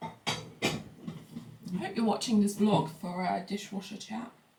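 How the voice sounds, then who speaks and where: Music plays behind a woman speaking at a medium pitch. Her pace is very slow, with ordinary pitch variation. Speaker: lifestyle vlogger. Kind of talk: casual chat.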